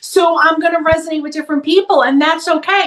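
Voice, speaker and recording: A woman talks loudly at a very fast pace. Her intonation is lively. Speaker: psychotherapist. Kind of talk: interview conversation.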